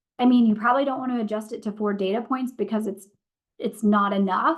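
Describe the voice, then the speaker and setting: A woman speaks with a fairly high pitch and fairly even intonation. She has an unremarkable speaking voice. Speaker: marketing analytics presenter. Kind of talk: webinar tutorial. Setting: webinar.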